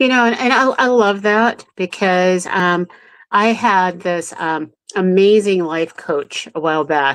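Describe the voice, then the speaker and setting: Against a quiet background, a woman with an unremarkable speaking voice talks at a fairly slow pace, with medium pitch and ordinary pitch variation. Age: 60s. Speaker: show co-host. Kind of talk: live show casual chat.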